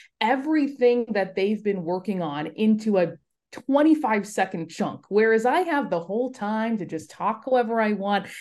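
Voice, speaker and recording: Against a quiet background, a woman speaks in a General American accent with a dark, mellow tone at medium pitch. Her intonation is lively and her pace moderate. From US West Coast, Los Angeles. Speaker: sports broadcaster. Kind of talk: casual interview.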